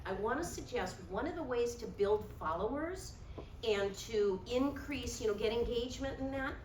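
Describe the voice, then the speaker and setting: Lively intonation from a woman at a moderate pace, with audible room echo and noticeable background noise. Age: 60s. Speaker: realtor and workshop presenter. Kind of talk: workshop presentation.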